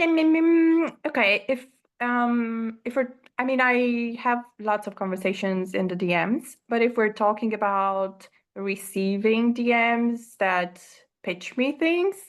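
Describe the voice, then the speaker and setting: A woman with a fairly high pitch and lively intonation, at a very slow pace, against a quiet background. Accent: non-native. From Romania. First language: Romanian. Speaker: course creator. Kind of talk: interview. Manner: halting, many fillers.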